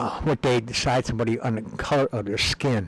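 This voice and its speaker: Talking at a moderate pace, a man has a medium pitch and an American accent. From US Upper Midwest, Minneapolis. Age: 60s. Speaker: video blogger. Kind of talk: casual monologue. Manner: halting, many fillers.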